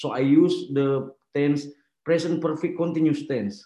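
A man's fairly high-pitched voice with an Indonesian accent. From Makassar, Indonesia. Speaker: artist collective member. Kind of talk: panel discussion. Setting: video call.

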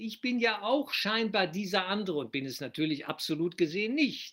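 A man's high-pitched voice with lively intonation. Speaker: spiritual teacher. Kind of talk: lecture on a spiritual text, explanatory and reflective. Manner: calm, deliberate, teacherly; reflective, rhetorical questions, earnest.

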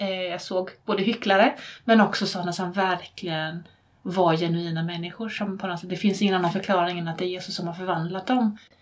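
A woman with an ordinary speaking voice, medium pitch, fairly even intonation and a fairly quick pace. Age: 40s. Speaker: therapist and teacher. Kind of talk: interview.

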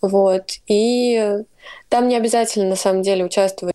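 A woman talks at a fairly slow pace in a dark, mellow tone. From Russia. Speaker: student. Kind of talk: casual chat.

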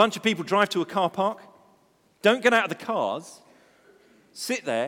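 A man is speaking. His pace is moderate. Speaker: preacher. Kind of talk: sermon. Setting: church.

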